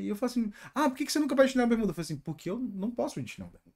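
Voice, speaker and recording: A man's animated tone and lively intonation in a very clean recording with a silent background. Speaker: software development youtuber. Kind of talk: casual monologue.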